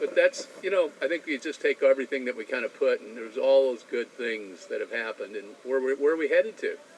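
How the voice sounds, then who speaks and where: A man talking at a very fast pace with hardly any pauses, big swings in loudness, and noticeable background noise. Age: 60s. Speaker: podcast panelist. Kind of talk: casual chat. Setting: on a boat.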